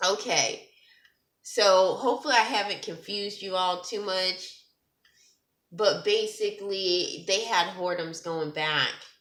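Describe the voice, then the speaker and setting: Someone speaks at a fairly slow pace, with audible room echo. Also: woman, medium pitch for a woman, ordinary pitch variation. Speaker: testimony vlogger, ministers to girls. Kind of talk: testimony. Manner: halting, stuttering.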